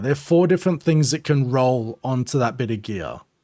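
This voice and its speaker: A speaker with an Australian accent talks at a moderate pace with ordinary pitch variation. The recording is very clean, with a silent background. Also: man. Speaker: gaming streamer. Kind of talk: tutorial. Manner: casual, filler-heavy.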